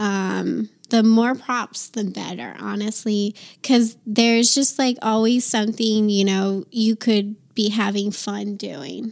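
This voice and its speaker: Very slow, fairly even speech from a woman with an American accent, fairly high in pitch, on a very clean recording with a silent background. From US East Coast. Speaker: adult performer and sex worker. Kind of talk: interview.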